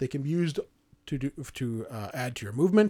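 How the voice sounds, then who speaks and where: A man with an unremarkable speaking voice talks fairly high in pitch, his intonation lively, on a very clean recording with a silent background. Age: 30s. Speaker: board game podcast host. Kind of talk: casual chat.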